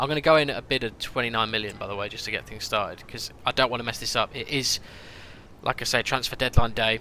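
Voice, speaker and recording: Speaking at a very fast pace with a British accent, a man delivers fairly even intonation in a bright, sharp tone. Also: medium pitch for a man. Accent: noticeable British. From UK. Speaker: gaming streamer. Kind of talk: live stream commentary. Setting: live stream. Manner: casual, chatty.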